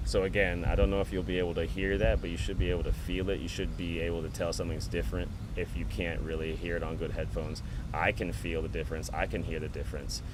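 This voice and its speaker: A man's very fast speech is accompanied by audible room echo. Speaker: rapper and music producer. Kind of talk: live stream tutorial. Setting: outdoors at a park, live stream. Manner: halting, repeats words; casual.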